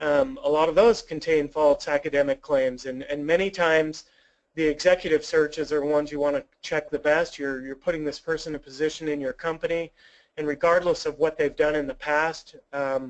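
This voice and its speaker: The voice moves at a fairly quick pace with fairly even intonation. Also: man, fairly high pitch for a man. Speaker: webinar presenter for a background screening company. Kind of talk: webinar presentation. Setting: online webinar, no live interaction. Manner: fast; casual with frequent fillers.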